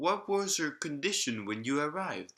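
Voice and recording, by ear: Putting on a character voice, a man speaks fairly slowly with a fairly high pitch, a fairly bright tone, and big pitch swings.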